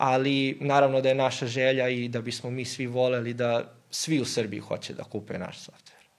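Here a man is talking. His pace is fairly quick. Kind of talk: interview answer. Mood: calm, friendly. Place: office.

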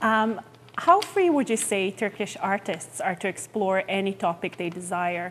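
A woman with a Croatian accent talks at a moderate pace and a medium pitch, with ordinary pitch variation. Light noise sits in the background. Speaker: film journalist. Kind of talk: interview. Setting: film festival. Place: hall.

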